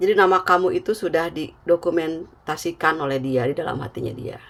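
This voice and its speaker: At a moderate pace, a woman with a fairly low pitch speaks with lively intonation. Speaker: tarot reader. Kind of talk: tarot reading.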